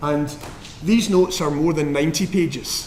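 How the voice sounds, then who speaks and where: Noticeable background noise and audible room echo around a male voice with ordinary pitch variation. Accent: Scottish. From Scotland. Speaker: professor giving physics lectures. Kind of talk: lecture. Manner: frequent ums and hesitations.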